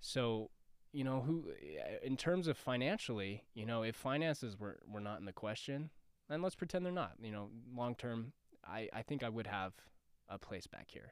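In a very clean recording with a silent background, a normal speaking voice with an American accent moves at a moderate pace with lively intonation. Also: man, medium pitch for a man. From Denver, Colorado. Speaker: actor. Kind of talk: casual chat. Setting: studio.

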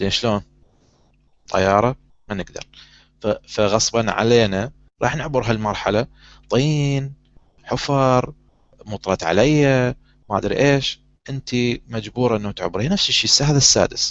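At a fairly slow pace, a man speaks with long, frequent pauses. His medium pitch shows ordinary pitch variation. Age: 30s. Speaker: talk show host. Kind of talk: casual chat.

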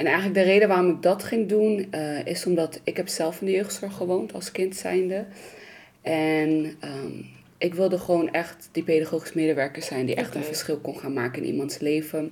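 An unremarkable speaking voice from a woman, fairly low in pitch, with ordinary pitch variation. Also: moderate pace. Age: 20s. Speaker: youth psychiatry worker. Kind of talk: personal testimony.

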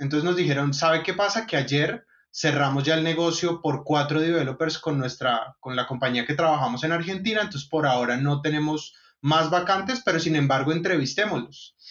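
A man with a fairly high pitch talks at a moderate pace in an unremarkable speaking voice. His loudness stays very even. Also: ordinary pitch variation. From Colombia, Bogotá. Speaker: software company co-founder. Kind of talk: casual interview.

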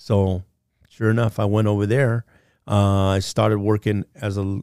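Dark and mellow in tone, a man's fairly low voice holds a flat, monotone intonation at a moderate pace, in a dry, close sound with no echo and a very clean recording with a silent background. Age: 70s. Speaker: lineman and safety trainer. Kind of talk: casual interview chat. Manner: relaxed, humorous.

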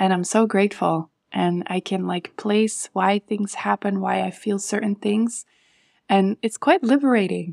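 A plain, everyday voice at a fairly slow pace, fairly even in intonation, with a dry, close sound and no echo in a very clean recording against a silent background. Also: woman, medium pitch for a woman. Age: 30s. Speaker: hormonal health coach. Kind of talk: interview.

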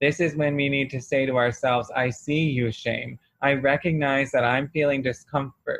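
A man with an American accent has an ordinary speaking voice, fairly high in pitch, moving at a moderate pace with hardly any pauses. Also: fairly even intonation. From US South. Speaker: church host and speaker. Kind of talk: sermon and prayer. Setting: church.

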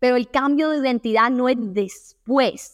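A woman's high-pitched voice with ordinary pitch variation, dry and close with no echo, on a very clean recording against a silent background. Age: 20s. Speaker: self-esteem coach and podcast host. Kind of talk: motivational monologue.

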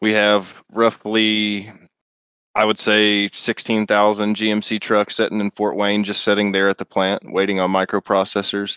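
A man with an American accent, fairly low pitch and a bright, sharp tone, monotone and flat in intonation, very even in loudness, at a moderate pace, in a dry, close sound with no echo against a quiet background. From Indianapolis, US Midwest. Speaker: racing league owner. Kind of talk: casual interview.

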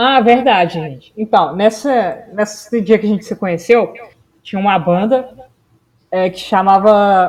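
This woman has an unremarkable speaking voice, pitched fairly high and with ordinary pitch variation. She speaks at a fairly slow pace. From Belo Horizonte, Minas Gerais, Brazil. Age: 20s. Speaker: podcast co-host. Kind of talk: casual chat.

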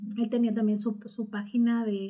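A woman's somewhat breathy voice carries a dark, mellow tone at fairly high pitch, with fairly even intonation. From Mexico, Morelia, Michoacán. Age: 40s. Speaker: university admissions staff and radio project founder. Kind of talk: interview.

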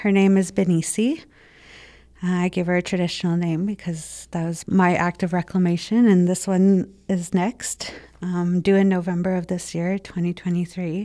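Her tone is dark and mellow, and the intonation is monotone and flat. The woman is on a very clean recording with a silent background. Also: medium pitch for a woman, moderate pace. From Winnipeg North End, Manitoba, Canada. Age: 20s. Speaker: intergenerational survivor sharing story. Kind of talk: personal testimony.

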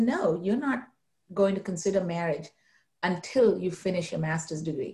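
This woman's voice is somewhat breathy, with ordinary pitch variation. She talks at a moderate pace. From India, Mumbai. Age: 40s. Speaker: nonprofit corporate relations officer. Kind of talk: interview conversation.

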